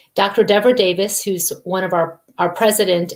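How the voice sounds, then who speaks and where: A woman with an American accent, an unremarkable speaking voice, at a moderate pace. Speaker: environmental health advocate. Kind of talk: interview. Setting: live video call.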